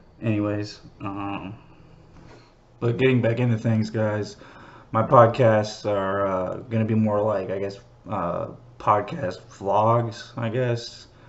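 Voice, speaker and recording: Speaking very slowly in a flat monotone, a man leaves long, frequent pauses, and the room echo is audible. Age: 30s. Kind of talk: casual monologue. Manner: halting, many fillers.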